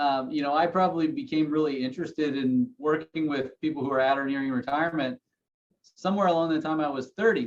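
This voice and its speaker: A man with an ordinary speaking voice, fairly high in pitch, at a fairly quick pace. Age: 30s. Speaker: financial advisor. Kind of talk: podcast interview.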